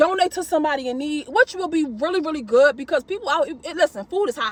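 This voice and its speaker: A loud, animated voice at a very fast clip. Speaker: gig delivery shopper vlogger. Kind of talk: casual vlog monologue.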